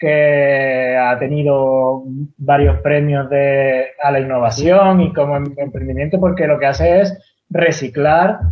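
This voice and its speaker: Fairly high male voice, its pitch varying an ordinary amount. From Venezuela, Canarian mother, raised partly in Andalusia. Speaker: tiny house builder. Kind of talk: podcast interview. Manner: halting, many repetitions and false starts.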